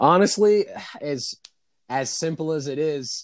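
A man's fairly high voice, a normal speaking voice with an American accent, lively intonation and a fairly slow pace, on a very clean recording with a silent background. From New York City. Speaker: podcast guest. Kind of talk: casual chat.

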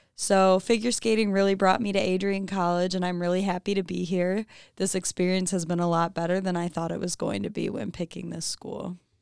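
Speaking at a fairly quick pace with hardly any pauses, a woman uses a normal speaking voice, medium in pitch, with an American accent. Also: fairly even intonation. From Michigan, US. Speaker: college student intern, figure skater. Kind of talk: casual interview.

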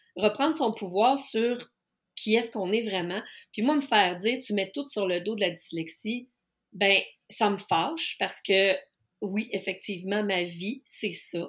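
A woman speaks at a fairly slow pace with a medium pitch. Her pitch varies in an ordinary way. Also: very clean recording, silent background. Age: 50s. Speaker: life coach specializing in neurodiversity. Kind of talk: casual interview.

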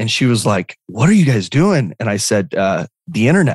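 A medium-pitched man speaks at a fairly quick pace with very wide pitch swings against a quiet background. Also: dry, close sound with no echo. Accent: American. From Arizona, Lake Havasu City. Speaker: real estate entrepreneur and speaker. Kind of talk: interview. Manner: casual, halting with fillers.

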